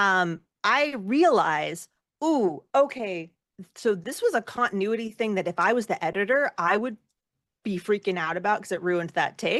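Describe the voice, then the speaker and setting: A woman with a normal speaking voice talks at a medium pitch and moderate pace. Her intonation is lively, over a quiet background. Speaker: singer, actor, editor. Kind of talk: interview answer.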